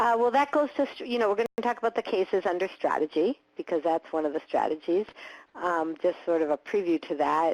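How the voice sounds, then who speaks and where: Lively intonation at a fairly quick pace, with a dry, close sound with no echo and a quiet background. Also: woman, medium pitch for a woman. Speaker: accessibility lawyer. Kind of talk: webinar presentation. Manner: fast.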